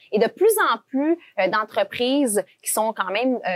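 The sound is dry and close with no echo as a woman talks in an unremarkable speaking voice. She keeps a moderate pace with ordinary pitch variation. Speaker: podcast co-host. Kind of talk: podcast conversation.

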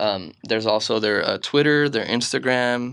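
A man with a normal speaking voice, pitched in the middle range and moving up and down an ordinary amount. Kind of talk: casual chat.

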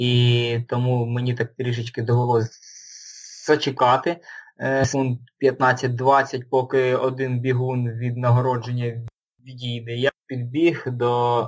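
The voice is somewhat breathy and monotone, moving at a very slow pace with big swings in loudness. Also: man, medium pitch for a man. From Luhansk, eastern Ukraine. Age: 20s. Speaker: ultramarathon runner and army veteran. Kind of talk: interview. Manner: halting.

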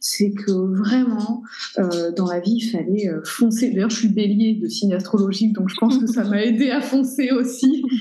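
At a fairly slow pace, a woman with a fairly high pitch and ordinary pitch variation speaks through noticeable background noise and audible room echo. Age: 20s. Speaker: shop owner. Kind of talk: interview. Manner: hesitant.

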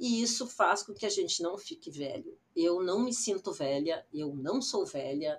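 Speaking fairly slowly with hardly any pauses, a woman at a medium pitch lets her voice swing very widely. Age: 60s. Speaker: digital influencer. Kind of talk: personal storytelling monologue.

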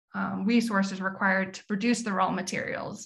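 A woman speaks with vocal fry. Her intonation is monotone and flat. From Memphis, Tennessee. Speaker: communications specialist at an apparel company. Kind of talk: interview.

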